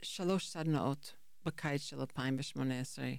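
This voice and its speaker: A woman with a non-native accent speaks with ordinary pitch variation on a very clean recording with a silent background. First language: not Hebrew (speaking Hebrew). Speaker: high school English teacher. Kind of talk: interview conversation. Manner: halting.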